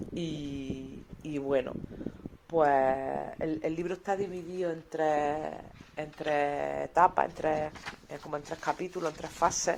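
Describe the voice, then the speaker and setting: A woman speaks at a very deep, low pitch and a very slow pace. She leaves long, frequent pauses, and her intonation stays fairly even. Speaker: radio presenter. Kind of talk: radio book review segment. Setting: radio studio. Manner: hesitant, conversational.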